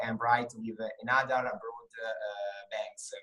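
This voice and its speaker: Over music in the background, a man with a medium pitch speaks with an Italian accent. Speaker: English student, bank employee. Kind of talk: interview. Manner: halting, many fillers.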